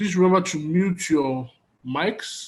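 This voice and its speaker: A man with a Nigerian accent at a fairly slow pace. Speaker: conference moderator. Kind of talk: online conference moderation.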